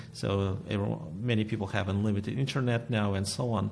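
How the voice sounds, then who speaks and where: Very fast speech comes from a man with a Russian accent. His pitch is fairly low and his intonation fairly even. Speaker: painter and art teacher. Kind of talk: interview. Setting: recording venue, arts studio. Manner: halting.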